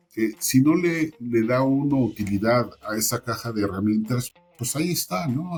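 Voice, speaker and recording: A man's medium-pitched voice comes across somewhat breathy. He speaks at a fairly slow pace with lively intonation. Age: 60s. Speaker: certification industry veteran. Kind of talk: interview. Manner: hesitant, many fillers.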